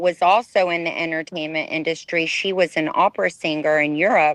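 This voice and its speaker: Against a quiet background, a woman with an American accent speaks in a plain, everyday voice at a fairly low pitch, with fairly even intonation and a dry, close sound with no echo. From Texas, US. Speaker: ex-model. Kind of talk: interview testimony.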